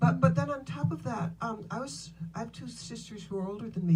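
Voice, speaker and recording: A woman with a fairly low pitch speaks at a fairly quick pace with a dark, mellow tone and vocal fry. Audible room echo surrounds her voice. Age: 70s. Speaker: businesswoman and author. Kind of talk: interview on stage.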